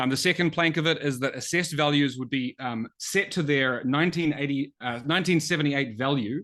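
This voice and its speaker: Against a quiet background, a man with a New Zealand accent talks at a fairly quick pace, his fairly high pitch showing ordinary variation. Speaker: economist, think tank researcher. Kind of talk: webinar presentation. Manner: many filler words (um, uh).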